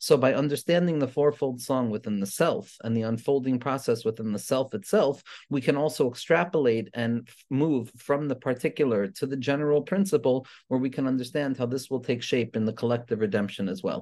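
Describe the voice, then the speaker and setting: The voice has a dark, mellow tone, ordinary pitch variation and a fairly quick pace. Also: man, quiet background. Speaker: religious teacher. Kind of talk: lecture. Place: home room. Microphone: webcam.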